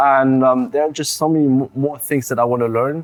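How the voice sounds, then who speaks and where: Someone talks at a very fast pace with a German accent, keeping a fairly even intonation. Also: man, dry, close sound with no echo. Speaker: college swimmer. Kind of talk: interview. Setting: studio.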